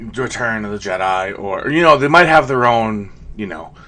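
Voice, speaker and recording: At a moderate pace, a man talks in a normal speaking voice with lively intonation. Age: 30s. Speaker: YouTube commentator. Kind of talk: video commentary. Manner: casual, many fillers.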